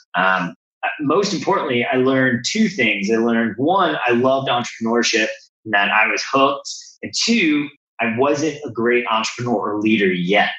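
With an American accent, a man talks at a medium pitch and a moderate pace. His tone is bright and sharp, his intonation lively. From New Jersey, US. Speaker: business consultant. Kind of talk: interview conversation.

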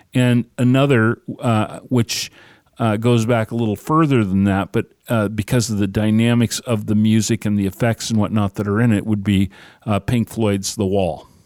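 A man's plain, everyday voice, fairly low-pitched and very even in loudness, in a dry, close sound with no echo on a very clean recording with a silent background. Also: fairly even intonation, moderate pace. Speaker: radio co-host. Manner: conversational, easygoing co-host chatter.

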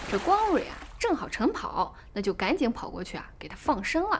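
A woman speaks in an animated tone with a high pitch and very wide pitch swings. Noticeable background noise runs under her voice. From China, Shaanxi. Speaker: podcast storyteller. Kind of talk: storytelling narration.

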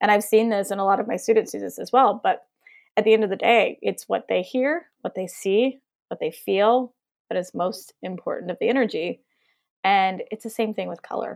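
A woman with a fairly high pitch and ordinary pitch variation speaks with vocal fry. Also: moderate pace, very clean recording, silent background. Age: 30s. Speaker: color intuitive. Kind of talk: casual chat.

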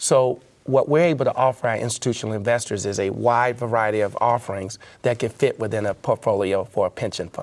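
Talking at a very fast pace, a man with a Memphis accent holds a medium pitch with ordinary pitch variation. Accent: Southern US (Memphis). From US South, Memphis, Tennessee. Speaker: asset management executive. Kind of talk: interview.

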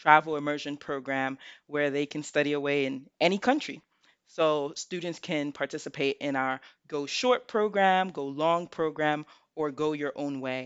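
With an American accent, a woman talks at a moderate pace in a very deep, low voice. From New York City (Bronx). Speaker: college admissions counselor. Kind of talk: interview.

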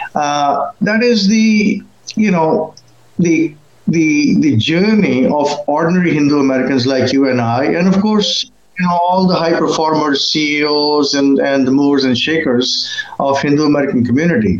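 The speaker's intonation is lively and the pace moderate, with very even loudness. Noticeable background noise is present. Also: man, fairly high pitch for a man. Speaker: author. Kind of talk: interview.

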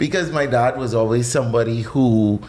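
A man's voice with audible room echo. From Bahamas, New Providence. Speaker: chef. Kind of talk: casual interview.

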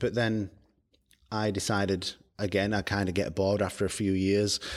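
This man has a fairly low pitch. He speaks with a Yorkshire accent. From northern England, Barnsley, South Yorkshire. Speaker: startup founder. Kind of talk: interview.

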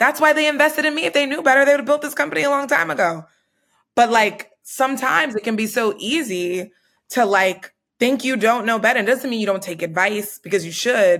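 A woman speaks at a fairly quick pace with a fairly high pitch and lively intonation. It is a plain, everyday voice. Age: 30s. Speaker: podcast host and startup founder. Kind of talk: casual chat.

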